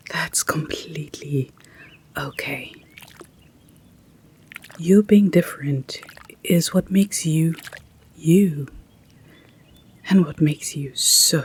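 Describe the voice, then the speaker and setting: A soft-spoken voice moves at a very slow pace with long, frequent pauses over noticeable background noise. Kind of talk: positive affirmations.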